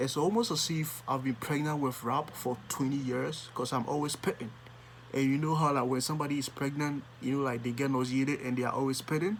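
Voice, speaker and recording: A man's fairly high, animated voice with a Ghanaian accent, at a fairly quick pace and very even loudness. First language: Akuapem Twi. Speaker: music reaction YouTuber. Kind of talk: music reaction commentary.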